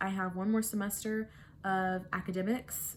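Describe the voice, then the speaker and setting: At a fairly slow pace, a woman speaks in a somewhat breathy way. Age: 20s. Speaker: book vlogger. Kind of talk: casual vlog to camera. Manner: chatty, hesitant with many fillers.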